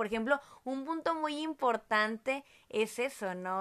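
A woman speaks with a northern Mexican accent against a quiet background. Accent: northern Mexican (Monterrey). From Mexico, Monterrey. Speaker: podcast host, mother. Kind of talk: casual family chat.

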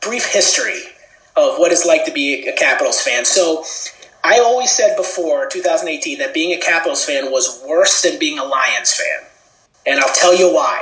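Someone with an American accent talks at a moderate pace, with audible room echo and noticeable background noise. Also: man. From US, Washington D.C. suburbs (Maryland). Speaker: sports TV producer. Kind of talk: podcast interview.

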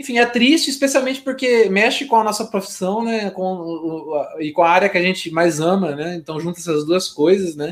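At a moderate pace, a man talks in a high voice with lively intonation and hardly any pauses. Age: 30s. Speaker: gaming podcast co-host. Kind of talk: casual chat.

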